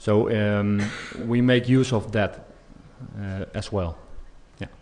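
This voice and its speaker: A man with a Dutch accent, fairly low in pitch, fairly even in intonation, at a very slow pace. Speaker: police expert. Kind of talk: conference Q&A. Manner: halting, many fillers.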